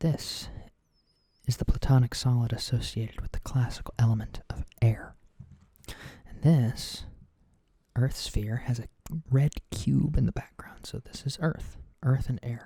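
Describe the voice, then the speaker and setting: A man whispering in a gentle tone, at a fairly slow pace with long, frequent pauses and big swings in loudness. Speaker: oracle card reader. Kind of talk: ASMR tarot-style reading, explanatory talk to camera. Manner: soft, quiet, gentle.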